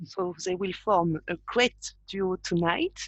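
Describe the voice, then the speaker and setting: A woman speaks at a very slow pace. She has a French accent. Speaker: patient organization vice president. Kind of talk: webinar introduction.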